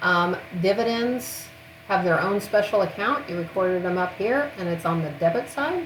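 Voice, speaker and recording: A woman speaks at a moderate pace with lively intonation. Audible room echo and noticeable background noise are present. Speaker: accounting instructor. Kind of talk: recorded lecture.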